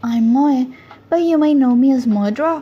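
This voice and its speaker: A woman with a non-native accent, high in pitch, at a moderate pace with ordinary pitch variation, music in the background. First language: Spanish. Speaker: artist and animator. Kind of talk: casual explainer monologue.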